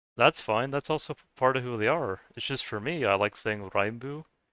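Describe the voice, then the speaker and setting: A man with an American accent and a bright, sharp tone is heard in a dry, close sound with no echo, on a very clean recording with a silent background. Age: 30s. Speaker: video game streamer. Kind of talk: casual chat. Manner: halting, many repetitions and fillers.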